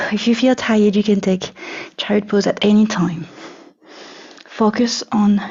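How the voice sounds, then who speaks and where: In a French accent, a woman speaks at a fairly slow pace. Her pitch is medium, with ordinary variation. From France. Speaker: yoga teacher. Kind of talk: yoga class instruction.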